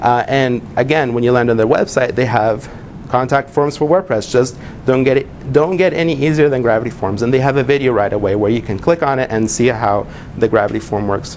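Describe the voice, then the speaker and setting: A medium-pitched man at a fairly quick pace, ordinary pitch variation, with noticeable background noise. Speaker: web business consultant and presenter. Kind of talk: presentation to a small group. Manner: fast.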